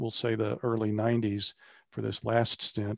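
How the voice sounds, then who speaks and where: In a dry, close sound with no echo and a quiet background, a man with an unremarkable speaking voice talks at medium pitch and a moderate pace. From Maryland, US. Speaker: filmmaker and radio journalist. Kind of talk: interview. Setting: video call.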